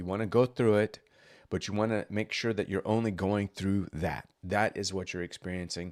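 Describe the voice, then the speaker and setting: At a moderate pace, a man speaks with a fairly low pitch and ordinary pitch variation. It is a plain, everyday voice. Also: very clean recording, silent background. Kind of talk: casual podcast-style talk to camera, motivational. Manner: conversational, humorous, informal.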